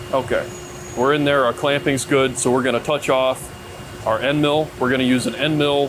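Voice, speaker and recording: The man's voice sits at a medium pitch with monotone, flat intonation. Noticeable background noise is present. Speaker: machinist. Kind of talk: tutorial. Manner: casual; fast.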